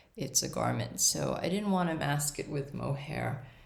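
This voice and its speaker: A woman speaks with a very deep, low pitch. Audible room echo hangs around her voice. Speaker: knitting podcaster. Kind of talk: casual chat. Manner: hesitant with fillers.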